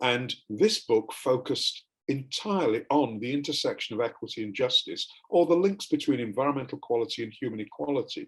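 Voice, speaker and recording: Speaking at a fairly quick pace, a man talks with an English accent. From England. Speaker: academic panelist. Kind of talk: panel presentation.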